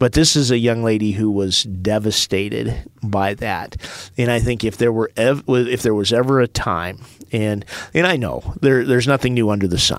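With a normal speaking voice, this man keeps a medium pitch, ordinary pitch variation and a moderate pace. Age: 50s. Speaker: school superintendent. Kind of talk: casual chat.

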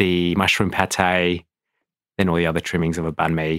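Speaking with an Australian accent, a man has a very deep, low pitch in a very clean recording with a silent background and a dry, close sound with no echo. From Australia (Adelaide). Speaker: restaurant owner. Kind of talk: interview. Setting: studio.

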